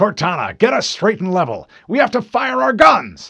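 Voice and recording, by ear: In a very clean recording with a silent background, a man does a put-on character voice at a high pitch and a moderate pace. His tone is bright and sharp with vocal fry, a slightly husky edge and very wide pitch swings.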